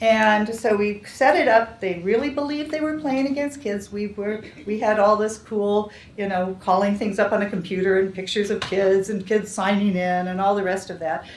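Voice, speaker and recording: Amid noticeable background noise and audible room echo, a woman speaks at a moderate pace and medium pitch with ordinary pitch variation. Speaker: developmental psychology researcher. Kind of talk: lecture.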